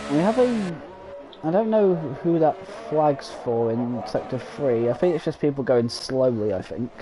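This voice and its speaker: A man with a fairly high pitch speaks at a fairly slow pace. His voice swings very widely in pitch, with music in the background. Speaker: sim racing league commentator. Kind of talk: live commentary. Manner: halting, many fillers.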